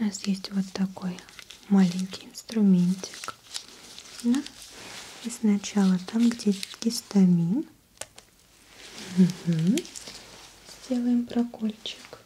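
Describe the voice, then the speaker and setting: At a very slow pace, a soft-spoken woman talks with long, frequent pauses and ordinary pitch variation. Light background noise can be heard. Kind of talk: soft-spoken role-play address to viewer. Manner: quiet, soft ASMR speaking voice.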